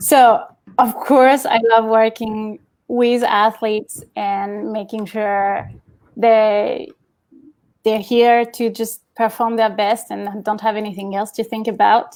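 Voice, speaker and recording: A woman with a French accent speaks very slowly, her fairly high voice moving in a fairly even intonation. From Champagne, France. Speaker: event professional. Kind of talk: interview answer.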